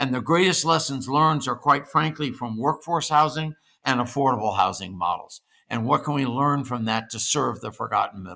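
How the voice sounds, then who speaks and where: A man's bright, sharp tone at a fairly quick pace, with ordinary pitch variation, on a very clean recording against a silent background. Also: medium pitch for a man. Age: 70s. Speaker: senior living industry expert. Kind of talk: interview. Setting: podcast.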